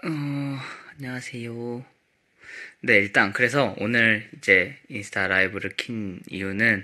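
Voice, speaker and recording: A man talks at a very slow pace with a bright, sharp tone and ordinary pitch variation. The background is quiet. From South Korea. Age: 20s. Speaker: K-pop idol. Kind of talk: casual chat. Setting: livestream from company practice room. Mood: calm, polite, relaxed. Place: home room. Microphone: phone near.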